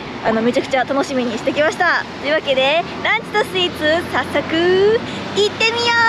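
Over noticeable background noise, a woman speaks at a moderate pace with hardly any pauses, in a dry sound with no echo. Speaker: food reviewer. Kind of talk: casual vlog chat. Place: street. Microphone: phone near.

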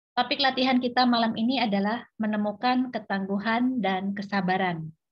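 A woman speaks at a moderate pace with ordinary pitch variation. Her voice is somewhat breathy, and the background is quiet. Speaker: host of an online meditation session. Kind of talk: host's welcome and introduction. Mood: warm, calm. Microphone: video call.

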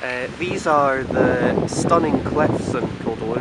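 A man speaks at a fairly slow pace in a dry sound with no echo. Loud background noise runs underneath. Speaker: holiday videographer. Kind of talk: casual holiday video narration. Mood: cheerful, relaxed. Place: waterside. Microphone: phone near.

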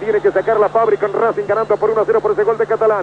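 A man's high voice at a very fast pace, fairly even in intonation, over noticeable background noise. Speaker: football radio commentator. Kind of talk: live football radio commentary, 1980s match call. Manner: rapid-fire, breathless play-by-play that swells into exultant shouting at the goal; urgent, tense, clipped ball-by-ball delivery, calling out minute and second counts.

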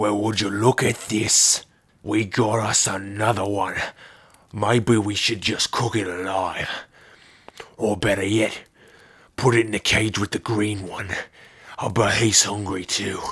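A raspy man speaks at a fairly low pitch in a monotone, flat intonation. His fairly slow pace includes long, frequent pauses. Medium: audio drama. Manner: mocking, gleeful, cruel.

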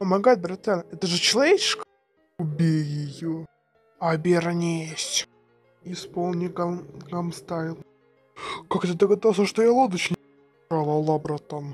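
Using a put-on character voice at fairly low pitch, a woman speaks at a moderate pace while faint music plays in the background. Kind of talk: amateur fan comic dub. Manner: casual, slangy, teasing.

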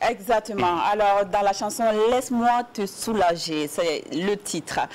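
A woman at medium pitch speaks very slowly with lively intonation. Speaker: TV co-host. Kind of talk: casual chat. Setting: TV studio. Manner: animated. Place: studio.

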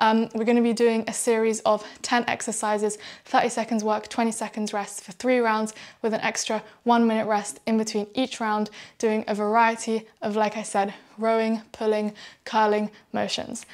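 Against a quiet background, a woman speaks with monotone, flat intonation. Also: moderate pace. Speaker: fitness instructor. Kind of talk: tutorial. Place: home room.

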